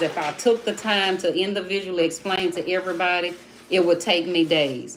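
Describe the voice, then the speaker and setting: Noticeable background noise is present. The speaker has an American accent and fairly even intonation. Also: woman. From Miami, Florida. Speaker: social media commentator. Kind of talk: livestream talk to viewers. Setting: live stream.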